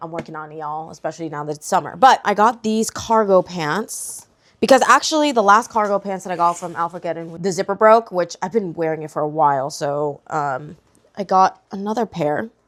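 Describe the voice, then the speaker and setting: This woman talks at a fairly quick pace with fairly low pitch and ordinary pitch variation. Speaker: vlogger. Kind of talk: casual vlog talk to camera. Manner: casual, filler-heavy; quiet when vlogging in public.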